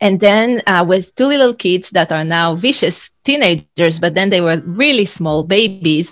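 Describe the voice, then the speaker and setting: Hardly pausing, a woman with an Israeli accent speaks at medium pitch and a moderate pace with lively intonation. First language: Hebrew. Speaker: leadership and executive coach. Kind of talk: interview. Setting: video call.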